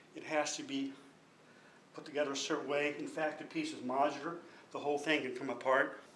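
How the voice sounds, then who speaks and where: Over noticeable background noise and audible room echo, a man talks at a fairly quick pace, with long, frequent pauses and big swings in loudness. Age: 60s. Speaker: artist. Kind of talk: artist talk about own work.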